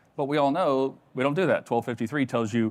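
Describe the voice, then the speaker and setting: A man speaks at a very fast pace. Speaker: cybersecurity presenter. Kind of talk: conference talk. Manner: animated.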